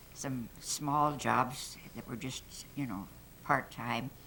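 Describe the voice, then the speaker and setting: The voice has a bright, sharp tone and an American accent. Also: woman. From Arizona, Prescott. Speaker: longtime local resident. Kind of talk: oral history storytelling. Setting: room with live audience.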